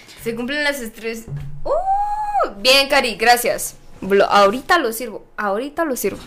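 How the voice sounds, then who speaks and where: Music plays in the background as a woman speaks at a fairly slow pace. Her high voice moves through very wide pitch swings. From Guatemala, Zacapa. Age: 20s. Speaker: podcast co-host. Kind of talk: casual chat. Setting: live stream.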